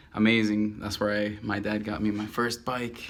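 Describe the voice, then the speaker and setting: A man's fairly low, fairly even voice with a Spanish accent and audible room echo. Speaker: caricature artist. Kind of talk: casual self-introduction monologue. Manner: halting, many fillers.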